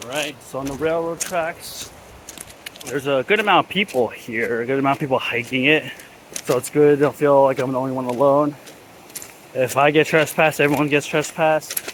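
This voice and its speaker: A man at a fairly quick pace, fairly high in pitch with ordinary pitch variation, amid noticeable background noise. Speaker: hiking vlogger. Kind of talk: casual vlog narration. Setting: outdoors. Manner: whispering.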